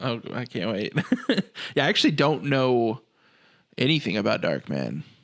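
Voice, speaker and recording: With vocal fry and a medium pitch, a man speaks at a moderate pace with lively intonation, broken by long, frequent pauses. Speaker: horror podcast co-host. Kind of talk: casual chat. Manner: clear, eloquent.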